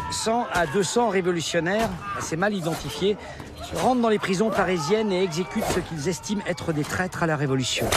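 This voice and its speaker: A man with a high voice speaks at a fairly quick pace, his pitch varying in an ordinary way over noticeable background noise. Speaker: actor (comédien) with a demo reel. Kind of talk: documentary interview-style commentary.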